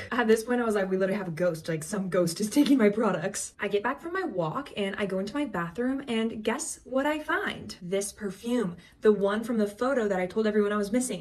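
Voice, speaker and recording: Through noticeable background noise, a woman talks at a very fast pace with hardly any pauses and lively intonation. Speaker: content creator. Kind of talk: storytime vlog. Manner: animated.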